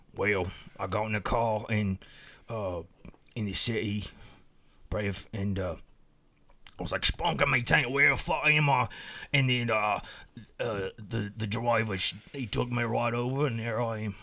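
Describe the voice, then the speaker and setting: Using a put-on character voice, a man sounds raspy at a medium pitch with ordinary pitch variation. His pace is moderate, broken by long, frequent pauses. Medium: comedy sketch. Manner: rambling, confused, profane.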